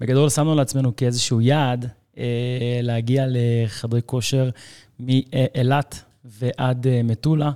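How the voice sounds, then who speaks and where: Over a very clean recording with a silent background, a man speaks at a very slow pace in a monotone, flat intonation, his dark, mellow tone heard in a dry, close sound with no echo. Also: medium pitch for a man. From Israel. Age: 30s. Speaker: fitness trainer. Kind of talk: casual chat.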